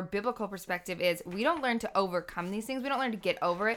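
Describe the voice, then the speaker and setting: Recorded very cleanly against a silent background, a woman speaks with a bright, sharp tone, a medium pitch and ordinary pitch variation. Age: 30s. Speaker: seminary-trained ministry worker. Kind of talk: testimony.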